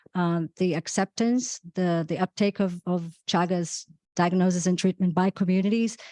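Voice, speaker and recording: Recorded dry and close with no echo against a quiet background, a woman with a Brazilian accent speaks in a dark, mellow tone at a fairly low pitch, her intonation monotone and flat. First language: Portuguese. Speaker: physician. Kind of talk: panel discussion. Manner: halting, many repetitions.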